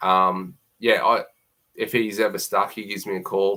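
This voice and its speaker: A man with a strong Queensland accent. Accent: broad Queensland Australian. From Queensland, Australia. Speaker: plumber. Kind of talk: live stream Q&A. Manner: casual, hesitant with fillers.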